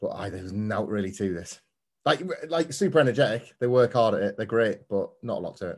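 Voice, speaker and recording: Fairly quick speech in a Yorkshire accent, with lively intonation, big swings in loudness and a quiet background. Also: man, medium pitch for a man. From northern England, Scarborough on the Yorkshire coast. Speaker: wrestling pundit. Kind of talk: casual review chat.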